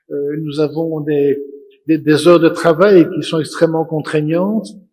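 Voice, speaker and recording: A normal speaking voice from a man, fairly high in pitch, fairly slow, with fairly even intonation. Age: 60s. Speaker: auditor and panelist. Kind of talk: conference panel talk.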